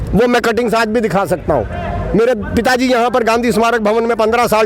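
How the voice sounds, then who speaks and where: With crowd noise in the background, a man talks at a high pitch. His pace is moderate, with hardly any pauses. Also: very even loudness. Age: 60s. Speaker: property owner, protester. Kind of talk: street interview, complaint.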